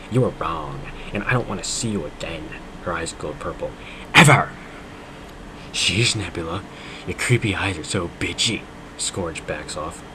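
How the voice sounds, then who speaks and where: Over noticeable background noise, a man with a very deep, low pitch speaks with lively intonation and long, frequent pauses. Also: moderate pace. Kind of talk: dramatic reading of fan fiction. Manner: mock-dramatic, comedic.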